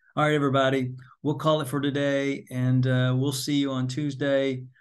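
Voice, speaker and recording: Speaking in a flat monotone, a man with a medium-pitched voice is heard over audible room echo. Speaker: college instructor. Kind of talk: lecture.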